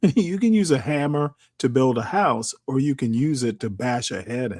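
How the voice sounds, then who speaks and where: Lively intonation marks this man's medium-pitched voice, an ordinary speaking voice. His pace is moderate. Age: 60s. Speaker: panel guest. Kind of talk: casual chat.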